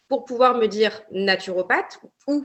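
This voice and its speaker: This woman's voice sits at a medium pitch with ordinary pitch variation. She speaks at a moderate pace. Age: 20s. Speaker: naturopathy consultant. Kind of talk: podcast interview. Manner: hesitant, many fillers.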